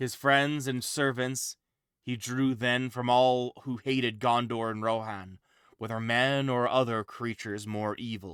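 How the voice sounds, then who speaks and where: A man with a plain, everyday voice talks at a medium pitch and a fairly slow pace, with fairly even intonation. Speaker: game streamer. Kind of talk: reading aloud from a book on stream.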